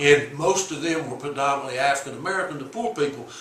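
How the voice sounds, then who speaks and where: A man with an Alabama accent and ordinary pitch variation, audible room echo and noticeable background noise. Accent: Southern US (Alabama). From US South, Alabama. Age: 70s. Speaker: civil rights activist. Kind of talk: interview. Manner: halting, repeats words.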